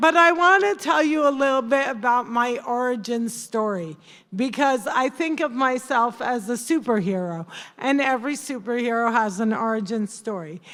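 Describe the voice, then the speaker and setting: A woman with a high pitch and a New Jersey accent talks at a moderate pace with lively intonation on a very clean recording with a silent background. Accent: New Jersey American. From New Jersey, US. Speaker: comedian. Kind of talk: stand-up. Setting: stage with audience.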